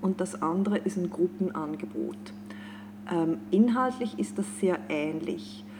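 Over noticeable background noise, a woman speaks at a very slow pace and a fairly low pitch, with very wide pitch swings and long, frequent pauses. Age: 40s. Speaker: life and career coach. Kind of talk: podcast interview.

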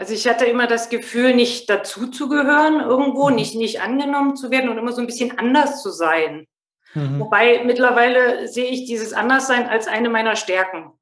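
High in pitch, a woman talks at a fairly quick pace. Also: ordinary pitch variation. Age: 40s. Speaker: mother and former inner-child training participant. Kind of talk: casual interview.

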